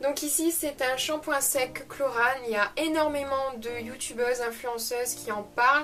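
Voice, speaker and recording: With music in the background, a woman speaks in a northern French accent at a high pitch, fairly slow pace, and fairly even intonation. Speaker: beauty youtuber. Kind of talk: unboxing video. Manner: hesitant, many fillers.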